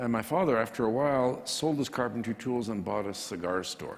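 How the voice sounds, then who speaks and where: A man with a plain, everyday voice, fairly low in pitch, with ordinary pitch variation and a fairly quick pace. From Canada. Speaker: printing entrepreneur. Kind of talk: interview.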